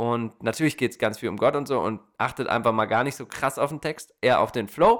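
Recorded very cleanly over a silent background, a man talks in a plain, everyday voice at medium pitch with ordinary pitch variation. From Germany. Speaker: podcast host. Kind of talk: casual chat. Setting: studio.

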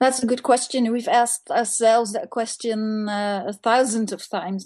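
In a Dutch accent, a woman with a fairly high pitch and a dark, mellow tone speaks at a moderate pace with fairly even intonation over a quiet background. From Netherlands. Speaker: museum staff member. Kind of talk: interview. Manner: halting, many fillers.

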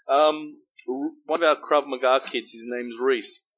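At a moderate pace, a man speaks. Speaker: interviewer, martial arts instructor. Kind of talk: casual interview.

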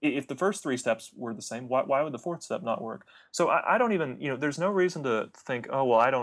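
Recorded very cleanly against a silent background, a man talks at a fairly quick pace with ordinary pitch variation in an ordinary speaking voice. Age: 20s. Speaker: product launch consultant. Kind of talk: interview conversation.

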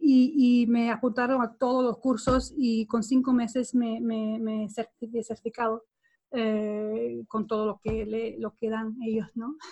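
A woman with a Swedish accent, a dark, mellow and somewhat breathy voice, a flat monotone and a very slow pace. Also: fairly high pitch for a woman. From Sweden. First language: Swedish (speaking Spanish). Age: 40s. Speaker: body language trainer. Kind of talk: interview. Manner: halting.

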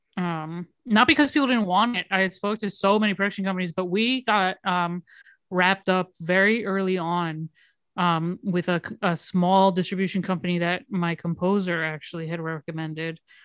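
Against a quiet background, a woman with an American accent uses an ordinary speaking voice at medium pitch, a moderate pace and ordinary pitch variation. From Miami, Florida. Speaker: filmmaker. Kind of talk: casual chat.

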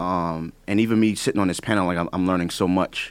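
A man talks at a very fast pace in a New York accent. The recording is very clean, with a silent background. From the Bronx, New York. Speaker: music producer. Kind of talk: panel discussion. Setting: studio.

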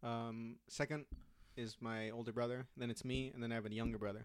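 The speaker talks at a fairly quick pace in a Californian accent. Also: man. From Southern California, Orange County. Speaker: comedian. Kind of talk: casual chat. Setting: home room.

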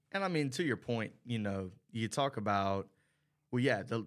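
On a very clean recording with a silent background, a man with an unremarkable speaking voice talks at a moderate pace in a fairly low pitch, with ordinary pitch variation. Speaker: college radio sports commentator. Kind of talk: casual sports talk.

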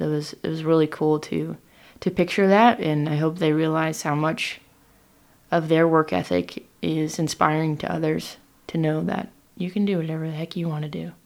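With a West Coast accent, a woman speaks at a moderate pace in a very deep, low pitch with fairly even intonation. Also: very clean recording, silent background. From Oregon, Willamette Valley. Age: 20s. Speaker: hop farmer and operations manager. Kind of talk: interview.

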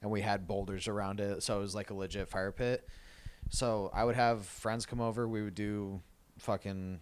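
The speaker is a man with an American accent and a fairly low pitch. He talks at a moderate pace. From Arizona, Tucson. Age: 20s. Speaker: podcast co-host. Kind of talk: casual chat. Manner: animated.

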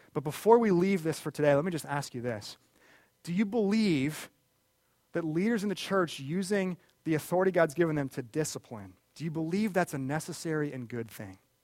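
A man with an ordinary speaking voice, fairly high pitch, lively intonation and a fairly quick pace, on a very clean recording with a silent background. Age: 30s. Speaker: pastor. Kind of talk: sermon.

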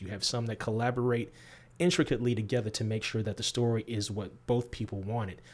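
In an American accent, a man with a fairly low pitch and a somewhat breathy voice talks at a very fast pace. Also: very clean recording, silent background. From US Midwest. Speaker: graphic novel writer. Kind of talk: interview.

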